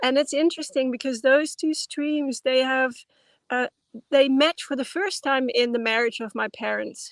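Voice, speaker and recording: With a Dutch accent, a woman speaks at a high pitch and a moderate pace, in a dry, close sound with no echo and a quiet background. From Netherlands. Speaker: anthropologist and dance teacher. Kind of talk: interview. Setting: video call.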